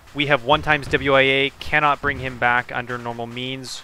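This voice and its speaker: A man's medium-pitched voice at a fairly slow pace, amid noticeable background noise. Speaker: gaming streamer and squad member. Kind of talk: radio dispatch. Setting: online game voice chat, stream. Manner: clipped, terse military radio brevity.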